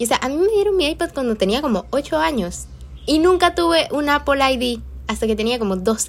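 This woman talks at a fairly quick pace in a high voice. Her pitch swings very widely and her tone is animated. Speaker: podcaster. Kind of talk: casual monologue.

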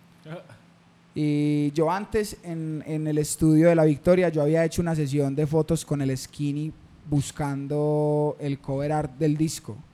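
A man speaks with a dark, mellow tone. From Colombia, Medellín (Antioquia). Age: 20s. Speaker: rapper. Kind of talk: casual chat.

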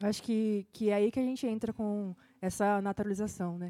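Fairly quick speech from a woman with a dark, mellow tone. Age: 20s. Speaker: podcast co-host. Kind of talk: casual chat.

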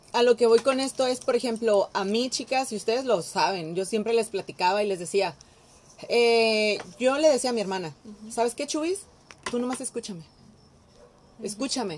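With a Mexican accent and lively intonation, a woman talks at a moderate pace with long, frequent pauses. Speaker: podcast host. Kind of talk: casual chat.

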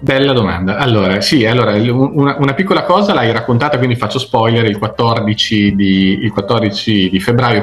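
A man with fairly even intonation amid noticeable background noise. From Italy, Emilian Apennines (Zocca). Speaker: crime novelist. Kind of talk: interview.

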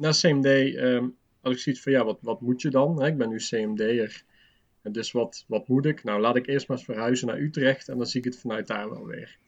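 A man with a plain, everyday voice, medium pitch and ordinary pitch variation, at a fairly slow pace. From Limburg, Netherlands. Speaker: design teacher. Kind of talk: casual chat.

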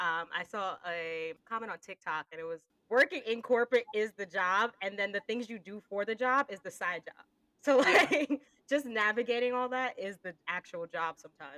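With an American accent, a woman speaks in an ordinary speaking voice at a fairly high pitch and a moderate pace. Her loudness swings widely, and the sound is dry and close with no echo. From United States. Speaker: podcast host. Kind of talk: casual conversational podcast chat. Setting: working in the UK.

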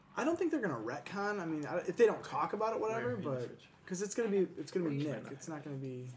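Pitch swings very widely at a very fast pace. Noticeable background noise is present. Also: man, high pitch for a man. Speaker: aspiring actor and writer. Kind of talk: casual chat.

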